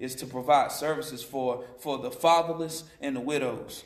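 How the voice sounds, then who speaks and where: A man's fairly high voice with an American accent and ordinary pitch variation, at a moderate pace, amid audible room echo and noticeable background noise. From Western North Carolina. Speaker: ministry leader, former prisoner. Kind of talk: testimony.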